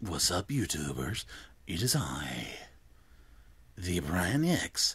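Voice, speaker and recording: Using a put-on character voice, a man speaks very slowly at a very deep, low pitch with very wide pitch swings. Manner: exaggerated, mock-announcer.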